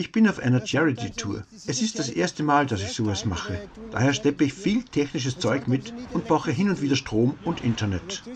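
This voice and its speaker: Noticeable background noise sits behind a man talking at a moderate pace, his fairly high pitch moving in very wide swings. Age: 50s. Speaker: cycle traveller and video blogger. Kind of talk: casual conversation.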